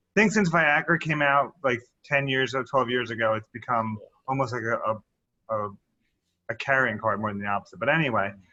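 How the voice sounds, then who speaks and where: Here is a man speaking at a medium pitch and a fairly quick pace. His pitch varies in an ordinary way. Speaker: physician. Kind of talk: interview. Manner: loud.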